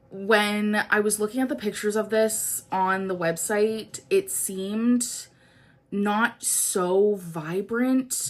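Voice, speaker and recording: A woman speaks very slowly, her pitch in the medium range. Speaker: beauty youtuber. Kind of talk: casual chat. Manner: casual, filler-heavy.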